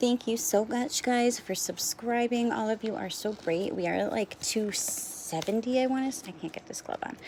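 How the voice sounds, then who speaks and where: Against noticeable background noise, a woman speaks at a fairly quick pace in a fairly high pitch with ordinary pitch variation. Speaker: nail art youtuber. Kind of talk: casual product review tutorial. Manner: chatty, filler words.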